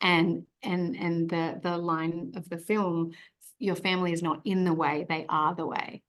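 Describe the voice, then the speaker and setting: This woman has an Australian accent and a fairly low pitch. She speaks at a fairly slow pace with fairly even intonation. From Australia, Sydney. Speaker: actress. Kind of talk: press interview.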